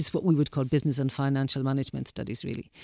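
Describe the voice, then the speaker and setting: A woman speaks with a Dublin accent. The recording is very clean with a silent background and a dry, close sound with no echo. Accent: Dublin Irish. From Ireland, Dublin. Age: 60s. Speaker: interviewee, community radio volunteer. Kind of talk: interview. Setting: studio.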